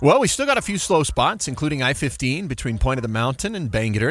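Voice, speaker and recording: A man with a normal speaking voice at a fairly quick pace. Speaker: radio traffic reporter. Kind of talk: live radio traffic report, rapid roundup of delays and crashes. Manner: brisk, clipped rundown of highways and interchanges; casual, conversational asides between road updates.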